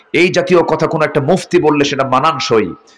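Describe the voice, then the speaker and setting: Lively intonation marks a man's plain, everyday voice, which sits at a fairly high pitch. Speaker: Islamic preacher (waz speaker). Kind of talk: Islamic sermon (waz mahfil) delivered live to an audience.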